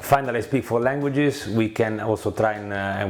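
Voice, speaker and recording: Noticeable background noise surrounds a man speaking at a moderate pace. His pitch is fairly low and his intonation fairly even. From Italy. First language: Italian. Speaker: former prop trading company founder. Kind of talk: casual video presentation. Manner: halting with many fillers.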